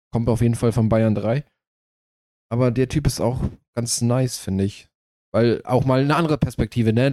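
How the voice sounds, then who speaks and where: The tone is dark and mellow, and the intonation fairly even. Delivery runs at a fairly quick pace over a very clean recording with a silent background. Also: man. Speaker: podcast co-host and streamer. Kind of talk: casual chat. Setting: studio.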